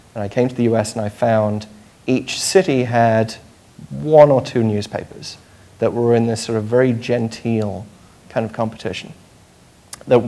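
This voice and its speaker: Speaking with a British accent, a man holds a medium pitch and fairly even intonation at a moderate pace. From United Kingdom. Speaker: journalist, panelist. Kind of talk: panel discussion. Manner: hesitant, many fillers.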